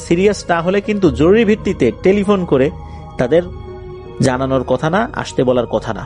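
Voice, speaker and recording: A man with a fairly high voice speaks with very wide pitch swings. Music plays in the background. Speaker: radio show host. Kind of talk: horror story narration; radio show. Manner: conversational storytelling.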